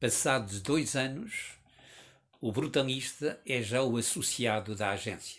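Ordinary pitch variation colors a man's medium-pitched voice as he speaks at a very slow pace. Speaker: writer. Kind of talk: reading aloud.

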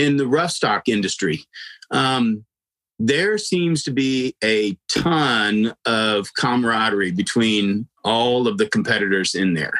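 A man's very slow, lively-toned speech with an American accent, medium pitch and very even loudness, in a dry, close sound with no echo. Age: 50s. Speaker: podcast host, horse trainer. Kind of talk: casual interview chat. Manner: halting, many fillers.

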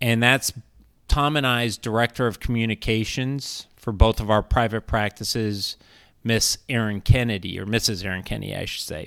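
In a very clean recording with a silent background, a man with an American accent and an unremarkable speaking voice talks at a moderate pace and medium pitch, his intonation fairly even but his loudness swinging widely. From US West Coast, San Diego. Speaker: financial advisor, podcast host. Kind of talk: casual chat.

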